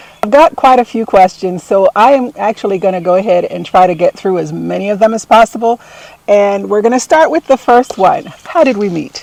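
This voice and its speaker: Lively intonation in a dry, close sound with no echo, over noticeable background noise. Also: woman, medium pitch for a woman, fairly quick pace. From Jamaica. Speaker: gardening and homemaking YouTuber. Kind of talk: casual Q and A interview.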